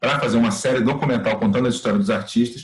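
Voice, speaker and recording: A somewhat breathy male voice, its pitch swinging very widely. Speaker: workshop teacher, TV producer. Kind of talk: online class lecture. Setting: video call. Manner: fast; animated.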